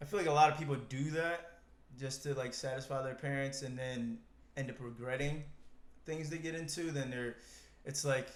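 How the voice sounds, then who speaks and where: A man's fairly high voice, with fairly even intonation, long and frequent pauses, and audible room echo. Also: moderate pace. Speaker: podcast co-host. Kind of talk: casual chat.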